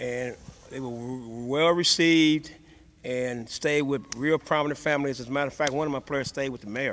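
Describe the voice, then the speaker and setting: In an American accent, a man speaks at a moderate pace with fairly high pitch and fairly even intonation. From Indiana. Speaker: high school basketball coach. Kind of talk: interview. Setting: on location at a high school. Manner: soft-spoken.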